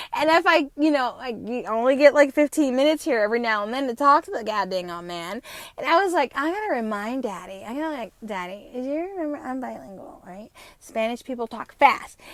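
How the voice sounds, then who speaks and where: An animated voice with an American accent, fairly quick in pace, with very wide pitch swings and big swings in loudness. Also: woman, high pitch for a woman. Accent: slight New Jersey accent at times. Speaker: podcast host. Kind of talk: casual monologue. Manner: fast.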